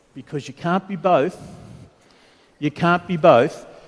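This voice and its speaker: With an Australian accent, a man delivers his words fairly slowly. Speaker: panel moderator. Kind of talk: conference panel introduction. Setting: conference stage with audience.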